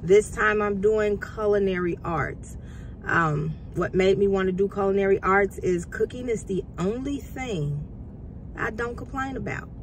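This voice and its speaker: With noticeable background noise behind her, a woman talks at a fairly slow pace with ordinary pitch variation. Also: medium pitch for a woman. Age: 50s. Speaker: culinary student and vlogger. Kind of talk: casual motivational vlog.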